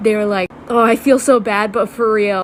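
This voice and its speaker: A woman talks at a fairly quick pace with a fairly high pitch. Noticeable background noise runs behind her. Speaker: TikTok creator. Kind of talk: casual storytelling.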